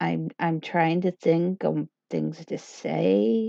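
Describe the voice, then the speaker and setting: A woman mumbling, in a dry, close sound with no echo. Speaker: livestreamer. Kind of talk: casual livestream chat. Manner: halting.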